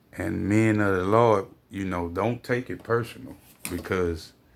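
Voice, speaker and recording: Over a very clean recording with a silent background, a man speaks at a very slow pace in a fairly low pitch. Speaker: religious video commentator. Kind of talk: religious commentary monologue. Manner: animated.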